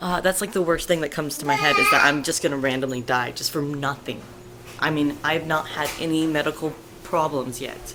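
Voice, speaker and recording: A woman with a very deep, low voice talks at a fairly quick pace with ordinary pitch variation. Noticeable background noise runs underneath. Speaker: parent. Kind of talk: casual talk to camera, personal video diary.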